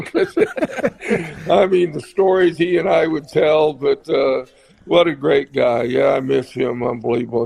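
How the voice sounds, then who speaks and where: A man speaks fairly slowly with ordinary pitch variation, and noticeable background noise can be heard. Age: 70s. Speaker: retired basketball coach. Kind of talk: radio interview.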